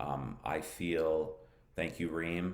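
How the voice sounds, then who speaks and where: In an American accent, a man speaks with audible room echo. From United States. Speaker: English teacher. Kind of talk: live-stream lesson. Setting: Facebook live broadcast. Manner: hesitant, many fillers.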